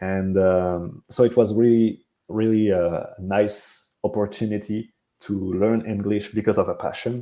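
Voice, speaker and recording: Speaking with a French accent, a man uses a fairly low pitch and a dark, mellow tone. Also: fairly even intonation, fairly slow pace. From France. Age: 20s. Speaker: pro wrestler. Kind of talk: interview. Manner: halting, many fillers.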